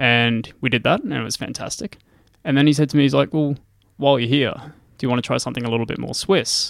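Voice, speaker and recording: Very fast speech comes from a man with an Australian accent. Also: medium pitch for a man, ordinary pitch variation. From Australia, regional Queensland (Gladstone). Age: 20s. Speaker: mountain climber and engineer. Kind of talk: casual interview.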